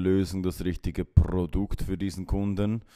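Very slowly and with fairly even intonation, a man speaks in a fairly low, dark, mellow voice on a very clean recording with a silent background. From Switzerland, Aargau. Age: 30s. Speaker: sales professional. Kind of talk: interview.

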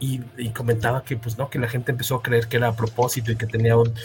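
Over noticeable background noise, someone talks at a very fast pace in a Mexican accent. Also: man. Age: 40s. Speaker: podcast host. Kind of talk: casual chat.

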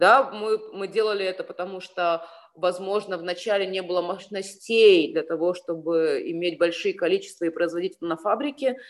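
This woman has an unremarkable speaking voice. Her pitch variation is ordinary, and her pace is moderate. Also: medium pitch for a woman. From Ukraine (Sevastopol, Crimea). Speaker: fashion designer. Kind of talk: casual interview.

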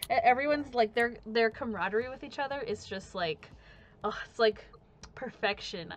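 A woman speaks in a normal speaking voice at a fairly high pitch, using lively intonation and a moderate pace. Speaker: podcast host. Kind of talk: casual chat. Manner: casual, filler-heavy.

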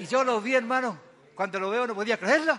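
Raising and projecting his voice, a man speaks at a high pitch. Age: 80s+. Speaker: guest preacher. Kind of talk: sermon. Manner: animated.

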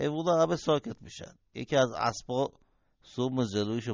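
This is an unforced reading voice. The words are read without strain.

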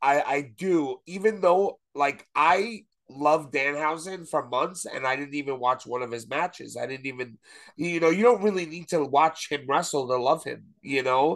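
Against a quiet background, a man with a fairly high pitch speaks in an animated tone at a moderate pace with ordinary pitch variation. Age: 30s. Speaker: wrestling fan guest. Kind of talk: casual chat.

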